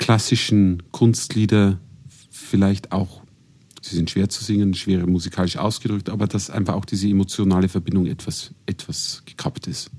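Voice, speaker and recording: A man with a dark, mellow tone speaks at a fairly low pitch. His intonation is fairly even and his pace moderate. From Regensburg, Bavaria. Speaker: classical singer. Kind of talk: casual chat. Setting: studio.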